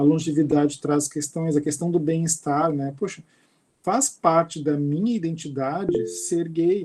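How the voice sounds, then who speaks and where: With fairly even intonation and a fairly high pitch, this man has a normal speaking voice. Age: 50s. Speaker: university professor and researcher. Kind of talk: lecture.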